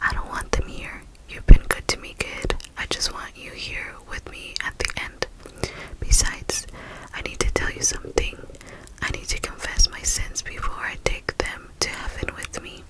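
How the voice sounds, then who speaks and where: A soft-spoken voice moves at a moderate pace over loud background noise. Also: woman. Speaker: storyteller. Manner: soft close-mic ASMR storytelling voice. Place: home room. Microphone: studio mic.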